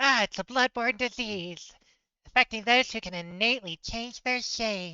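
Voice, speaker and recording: A woman does a put-on character voice at a moderate pace, pitched fairly high. Her loudness swings widely from moment to moment. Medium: actual play. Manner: playful, cooing.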